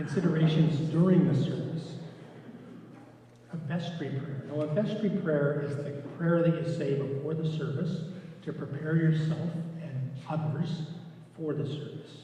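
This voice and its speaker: A man's fairly high-pitched, monotone, flat delivery at a moderate pace with long, frequent pauses, amid noticeable background noise and audible room echo. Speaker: lay reader trainer. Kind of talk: lecture. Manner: soft-spoken. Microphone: using a mic with lots of echo.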